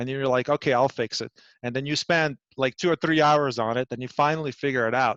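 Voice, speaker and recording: A man with a Bosnian accent talks at a fairly quick pace and medium pitch with fairly even intonation. The sound is dry and close with no echo, over a quiet background. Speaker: IT system administrator. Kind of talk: casual interview chat.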